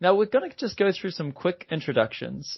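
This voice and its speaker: Lively intonation runs through this voice with a New Zealand accent. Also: man. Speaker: podcast host, software company executive. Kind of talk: podcast conversation. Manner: hesitant, with fillers and repetitions.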